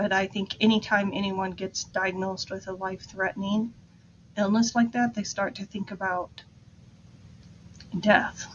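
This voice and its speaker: Somewhat breathy, a woman speaks at medium pitch and a moderate pace. There are long, frequent pauses and big swings in loudness. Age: 60s. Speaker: grief podcast host and therapist. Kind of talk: casual monologue.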